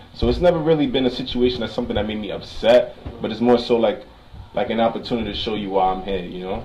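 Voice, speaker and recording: Amid noticeable background noise and audible room echo, a man speaks at a very fast pace. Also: medium pitch for a man, ordinary pitch variation. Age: 20s. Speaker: optician. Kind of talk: casual chat.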